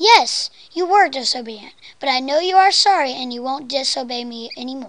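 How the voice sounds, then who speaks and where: A put-on, high-pitched character voice moves at a fairly quick pace. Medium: read story. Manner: warm, gentle.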